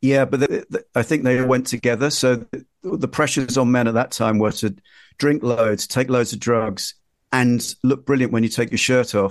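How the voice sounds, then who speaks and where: Against a quiet background, a man with a London accent speaks at a moderate pace in a medium pitch, his intonation fairly even. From East London (Ilford). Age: 50s. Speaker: magazine editor and journalist. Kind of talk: interview. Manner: halting.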